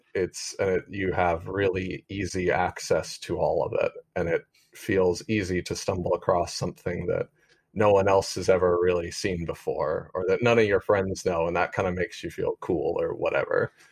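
Recorded with a dry, close sound and no echo, a man with an American accent speaks at a moderate pace. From US (family in Alabama). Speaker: musician. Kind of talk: interview conversation.

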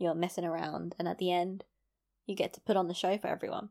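A woman's medium-pitched voice in a London accent. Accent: London accent, often mistaken for Australian. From East London. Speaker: podcast host. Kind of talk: solo podcast monologue, casual chat. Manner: chatty, rambling, self-deprecating.

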